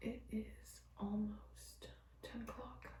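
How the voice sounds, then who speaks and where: A woman is whispering. Noticeable background noise and audible room echo surround her voice. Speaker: vlogger. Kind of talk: casual vlog talk to camera. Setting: friend's bathroom.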